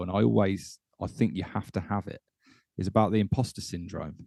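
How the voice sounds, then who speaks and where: A man with a British accent talks at a fairly quick pace, his voice dry and close with no echo against a quiet background. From UK. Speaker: podcast host, former air force serviceman. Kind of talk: casual interview chat.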